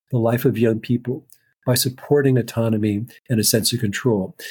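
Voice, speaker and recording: In a very clean recording with a silent background, a man speaks at a moderate pace, sounding somewhat breathy. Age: 60s. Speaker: neuropsychologist and author. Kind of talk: interview. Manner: halting, many repetitions.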